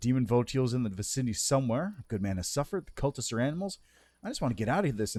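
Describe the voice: Lively intonation throughout plain reading aloud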